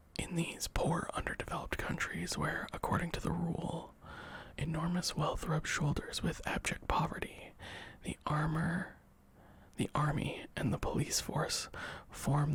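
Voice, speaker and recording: Someone whispers at a moderate pace. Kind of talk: ASMR book reading. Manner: soft-spoken, whispery.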